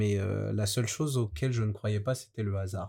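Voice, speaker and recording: The voice has a dark, mellow tone, somewhat breathy, with fairly even intonation at a moderate pace on a very clean recording with a silent background. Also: man. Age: 20s. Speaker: banker. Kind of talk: testimony.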